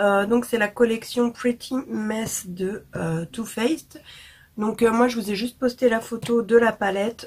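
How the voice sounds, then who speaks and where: A woman's voice, somewhat breathy. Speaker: beauty vlogger. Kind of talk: product review vlog. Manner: casual with many hesitations.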